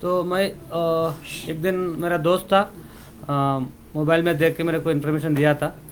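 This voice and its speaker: A man with a high voice speaks at a moderate pace in a flat monotone, leaving long, frequent pauses. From Telangana, India. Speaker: artist. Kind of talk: press interview. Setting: press conference.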